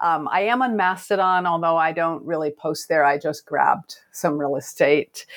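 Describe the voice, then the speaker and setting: An unremarkable speaking voice from a woman with an American accent, fairly low in pitch, ordinary pitch variation, a moderate pace and hardly any pauses. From US West Coast (Oregon). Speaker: fantasy author. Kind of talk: casual interview.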